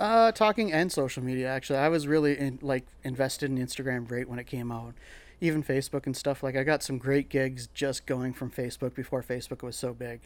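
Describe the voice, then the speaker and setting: Talking at a fairly quick pace in an unremarkable speaking voice, a man keeps a medium pitch with ordinary pitch variation, captured in a very clean recording with a silent background. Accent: Canadian. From Northern Ontario, Canada. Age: 30s. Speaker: chef and restaurant owner. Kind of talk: casual interview.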